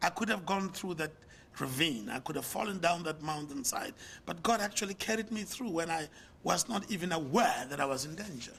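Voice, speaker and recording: Pitched high, a man talks at a fairly quick pace with lively intonation. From South Africa. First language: not English. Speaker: pastor and business leader. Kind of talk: sermon; lecture.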